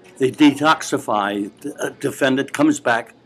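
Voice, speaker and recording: A man with a fairly high pitch speaks against noticeable background noise. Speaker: retired professor and author. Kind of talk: interview answer. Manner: gentlemanly, candid.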